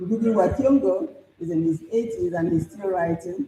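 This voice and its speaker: Somewhat breathy and dark, mellow in tone, a woman's medium-pitched voice swings very widely in pitch. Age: 70s. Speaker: professor and writer. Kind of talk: conference speech.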